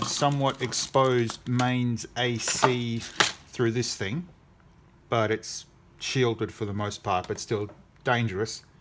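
A very slow pace amid noticeable background noise. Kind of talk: casual tutorial commentary. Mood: wry, self-deprecating. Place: workshop.

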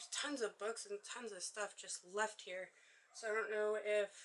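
A woman speaks at a moderate pace with a bright, sharp tone. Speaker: vlogger exploring a derelict house. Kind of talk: casual vlog chat. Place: empty room. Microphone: phone near.

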